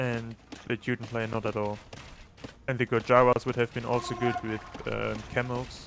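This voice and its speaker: A man's monotone, flat delivery with long, frequent pauses, over noticeable background noise. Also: medium pitch for a man, moderate pace. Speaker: co-caster and tournament player. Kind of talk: live commentary.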